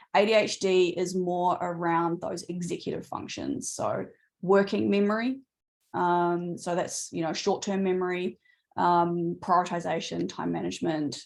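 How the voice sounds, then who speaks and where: Over a quiet background, a woman with an Australian accent speaks at a moderate pace with ordinary pitch variation. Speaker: neurodivergent coach. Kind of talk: webinar Q&A. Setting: video call webinar.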